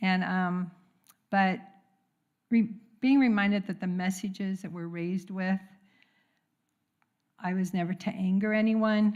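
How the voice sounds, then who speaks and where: In a very clean recording with a silent background, a woman talks at a fairly slow pace and medium pitch, with monotone, flat intonation and long, frequent pauses. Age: 70s. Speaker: congregant sharing at a church service. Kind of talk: testimony.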